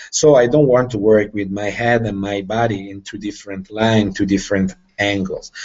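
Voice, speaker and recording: Delivered with a non-native accent, the speech has a moderate pace and fairly even intonation. Its loudness swings widely. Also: man, fairly low pitch for a man. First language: not English. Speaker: tactical firearms instructor. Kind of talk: live Q&A explanation. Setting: video call. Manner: halting.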